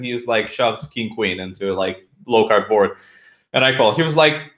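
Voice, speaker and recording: A man speaks with a Romanian accent and ordinary pitch variation. The recording is very clean, with a silent background. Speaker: poker player and coach. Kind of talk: podcast interview.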